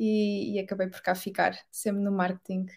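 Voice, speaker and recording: With a European Portuguese accent, a woman speaks at a fairly quick pace on a very clean recording with a silent background. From Portugal. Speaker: digital marketing manager. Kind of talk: interview.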